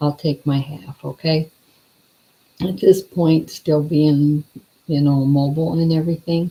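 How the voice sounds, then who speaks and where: The voice is somewhat breathy, with fairly even intonation. Long, frequent pauses break up the speech. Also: woman, very deep, low pitch for a woman, fairly slow pace. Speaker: vlogger living with ALS. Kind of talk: casual vlog update. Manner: quiet.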